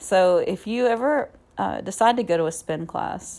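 Lively intonation and a warm, upbeat tone in a Southern US accent. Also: woman. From Alabama, US South. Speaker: podcast host and fitness instructor. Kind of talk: solo podcast monologue, casual. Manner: warm, conversational, upbeat.

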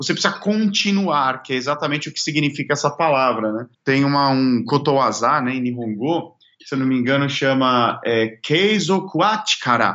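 Using an ordinary speaking voice, a man talks at a moderate pace with a fairly high pitch, lively intonation and hardly any pauses. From Brazil. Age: 30s. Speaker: singer and songwriter. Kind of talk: casual interview.

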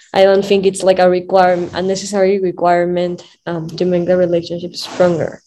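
A woman with a Spanish accent talks at a fairly quick pace with hardly any pauses, her medium-pitched voice monotone and flat. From Peru, Lima. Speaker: sex education entrepreneur. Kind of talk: casual interview. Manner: halting, with fillers.

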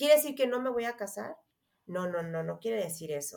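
This is a woman with an ordinary speaking voice at a medium pitch. Her intonation is lively. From Mexico. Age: 30s. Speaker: astrologer. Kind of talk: interview.

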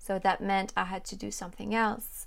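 This woman has a medium-pitched voice and speaks with a French accent. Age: 20s. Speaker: YouTube French teacher. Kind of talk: interview.

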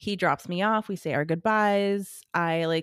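With an American accent, a woman talks in an ordinary speaking voice at a moderate pace, with ordinary pitch variation, in a dry, close sound with no echo and a very clean recording with a silent background. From California Central Valley. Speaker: podcast co-host. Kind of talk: casual chat. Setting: in person.

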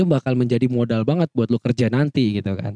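A man's dark, mellow tone at a fairly quick pace, with ordinary pitch variation and a dry, close sound with no echo. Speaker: student podcaster. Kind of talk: casual monologue. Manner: animated.

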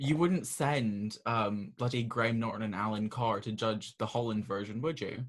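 A man with a normal speaking voice at a medium pitch, moderate pace and ordinary pitch variation, with hardly any pauses. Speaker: podcast host. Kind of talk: casual chat.

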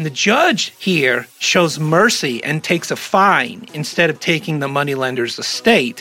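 A man's fairly slow, lively-toned speech with hardly any pauses, over noticeable background noise. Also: fairly high pitch for a man. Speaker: podcast host. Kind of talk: casual comedic commentary. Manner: jokey, rambling.

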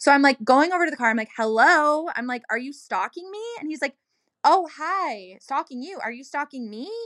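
A high-pitched woman speaks at a moderate pace with lively intonation, a bright, sharp tone and big swings in loudness. The sound is dry and close, with no echo. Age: 30s. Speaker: social worker. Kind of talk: casual chat. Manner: animated.

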